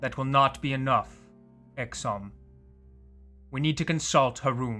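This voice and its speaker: A man in a put-on character voice, medium-pitched, at a moderate pace with fairly even intonation, faint music in the background. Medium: read story. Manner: solemn.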